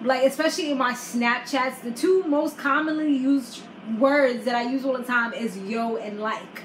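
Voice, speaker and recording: With an American accent, a woman speaks at a moderate pace in a high, animated voice over noticeable background noise. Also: ordinary pitch variation. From New York. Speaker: YouTuber, reality TV recapper. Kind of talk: casual chat.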